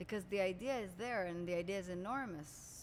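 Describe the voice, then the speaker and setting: At a fairly quick pace, a woman with an Israeli accent speaks at a medium pitch. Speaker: coach and podcast host. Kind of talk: interview. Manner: animated.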